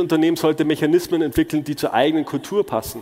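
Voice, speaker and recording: With an unremarkable speaking voice, a man talks at a fairly high pitch. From Germany. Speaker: conference speaker. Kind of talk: conference talk.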